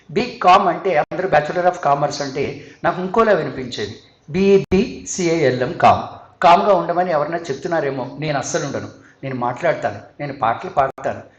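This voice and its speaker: High-pitched male speech with lively intonation, audible room echo and noticeable background noise. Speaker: singer and psychology speaker. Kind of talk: conference talk.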